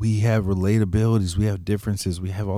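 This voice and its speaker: A man with an American accent speaks in a fairly low pitch, with a dark, mellow tone and monotone, flat intonation. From US. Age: 30s. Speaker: podcast host. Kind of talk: casual chat.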